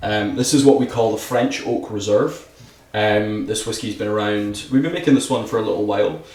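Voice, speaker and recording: A man with a Scottish accent speaks at a medium pitch. Audible room echo and noticeable background noise are present. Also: ordinary pitch variation, fairly quick pace. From Scotland. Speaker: whisky brand ambassador. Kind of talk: casual podcast chat, whisky tasting.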